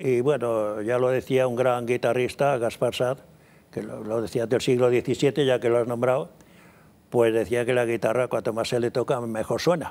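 A man's voice is heard. It lands at a medium pitch. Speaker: classical guitarist and composer. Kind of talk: interview.

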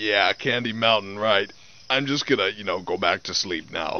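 In a dry sound with no echo, a man speaks at a moderate pace with a fairly low pitch and ordinary pitch variation. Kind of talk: animated character dialogue. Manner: flat weary sleepy unicorn voice. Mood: sarcastic, weary.

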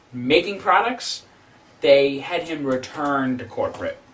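The man's delivery is fairly slow. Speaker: comedic vlogger playing a role. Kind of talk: comedic sketch monologue. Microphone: camera far.

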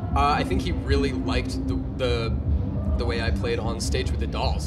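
A man talks fairly quickly while clear music is heard in the background. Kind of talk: interview answer. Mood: cheerful, animated.

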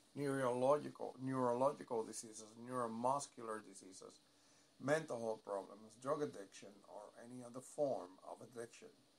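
Here is a man with an ordinary speaking voice. He talks at a fairly quick pace, with a medium pitch and ordinary pitch variation. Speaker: prayer leader. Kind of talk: evening prayer, fervent devotional prayer. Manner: solemn, reverent.

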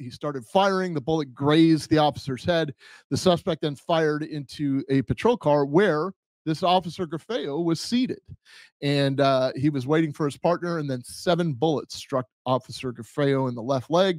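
At a moderate pace, a man speaks at a fairly high pitch with ordinary pitch variation, the sound dry with no echo against a quiet background. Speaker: podcast host, former police officer. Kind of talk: casual podcast chat. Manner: hesitant, many fillers. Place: home room. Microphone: studio mic.

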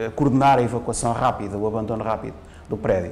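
This man speaks very fast, with ordinary pitch variation. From Portugal. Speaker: fire safety engineering professor; university professor. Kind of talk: interview; interview answer. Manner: halting. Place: studio. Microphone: lapel.

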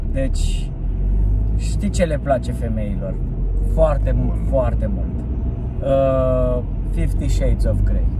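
Over loud background noise, a man speaks at a very slow pace with long, frequent pauses, and the sound is dry with no echo. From Romania. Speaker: stand-up comedian. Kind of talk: casual chat. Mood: joking, playful. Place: car. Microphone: phone near.

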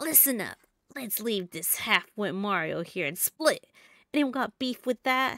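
Using a put-on character voice, a woman speaks at a moderate pace, fairly high in pitch with very wide pitch swings, in a dry, close recording with no echo. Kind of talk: comic game voice-over reading. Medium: game stream. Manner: taunting, bratty, boastful.

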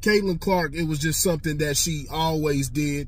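A somewhat breathy male voice with ordinary pitch variation and a dry sound free of echo. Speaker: sports commentary vlogger. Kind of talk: commentary. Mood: animated, opinionated, profane. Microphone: phone near.

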